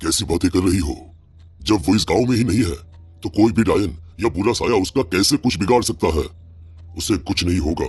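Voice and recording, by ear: Using a cartoonish character voice, a man speaks in a very deep, low pitch at a fairly quick pace with long, frequent pauses.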